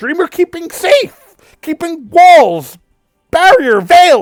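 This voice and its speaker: In a put-on character voice, the speaker growls at an extremely high pitch and a very slow pace. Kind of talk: broken, simple syntax. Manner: growling, halting, drained.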